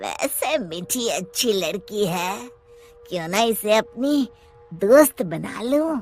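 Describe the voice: In a cartoonish character voice with a fairly high pitch, the speaker goes at a very slow pace over faint music in the background.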